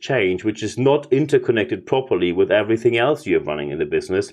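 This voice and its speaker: A man talks with a German accent. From Germany. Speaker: leadership consultant and podcast host. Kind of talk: business podcast talk.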